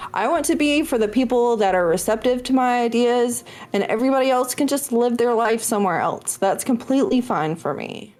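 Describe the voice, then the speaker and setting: The speaker talks at a fairly quick pace with lively intonation. There are hardly any pauses. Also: woman, high pitch for a woman. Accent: American. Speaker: streamer and author, former radio worker. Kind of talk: casual interview chat.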